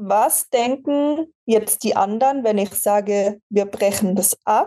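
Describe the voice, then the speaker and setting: A woman speaks with a dark, mellow tone. Her pitch sits fairly high. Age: 20s. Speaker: fitness athlete and coach. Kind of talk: casual interview conversation.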